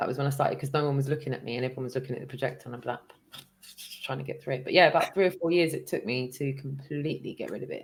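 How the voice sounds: A woman's extremely low voice at a very fast pace. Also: ordinary pitch variation.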